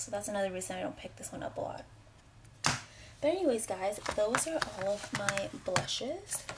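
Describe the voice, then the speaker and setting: There is noticeable background noise as a woman speaks with lively intonation. Her loudness swings widely, and she leaves long, frequent pauses. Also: medium pitch for a woman, moderate pace. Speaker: beauty vlogger. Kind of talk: product review vlog. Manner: soft-spoken.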